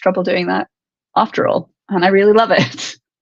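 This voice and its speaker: Vocal fry runs through this woman's voice. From US. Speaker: MMA fighter. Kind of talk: interview. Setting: live online show.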